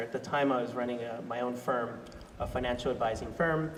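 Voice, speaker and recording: Fairly quick and fairly even in intonation, a man talks at medium pitch amid noticeable background noise and audible room echo. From Australia. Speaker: sustainability director and panel facilitator. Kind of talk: personal talk at panel discussion. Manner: halting, many fillers.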